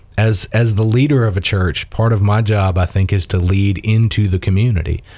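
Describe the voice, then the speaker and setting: This voice is somewhat breathy, with a dark, mellow tone and a Southern US accent. Its pitch varies in an ordinary way. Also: man. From US South. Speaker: priest and police chaplain. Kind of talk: casual interview.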